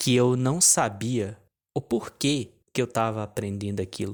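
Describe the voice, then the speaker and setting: A man at a medium pitch and fairly slow pace, on a very clean recording with a silent background. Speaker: online business coach. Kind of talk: casual vlog monologue. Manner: halting, many restarts.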